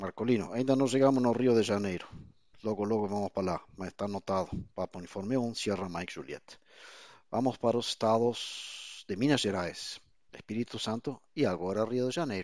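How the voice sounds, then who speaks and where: On a very clean recording with a silent background, a man speaks at a fairly quick pace, fairly low in pitch, with ordinary pitch variation. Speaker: amateur radio net controller. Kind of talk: radio net moderation.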